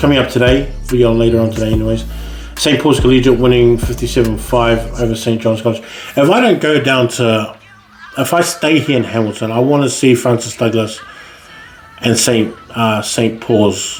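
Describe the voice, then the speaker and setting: With music in the background and audible room echo, a man speaks at a medium pitch and a moderate pace. His intonation is fairly even and his loudness very even. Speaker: podcast host and school rugby ranker. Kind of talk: solo podcast monologue. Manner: halting, with many fillers and pauses; thinking aloud.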